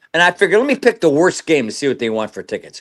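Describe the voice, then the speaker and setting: On a very clean recording with a silent background, a man with an American accent speaks in a bright, sharp tone at a fairly high pitch, with very wide pitch swings and vocal fry. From US West Coast (Los Angeles). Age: 70s. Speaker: retired sportswriter and racing handicapper. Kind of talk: casual chat. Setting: podcast interview.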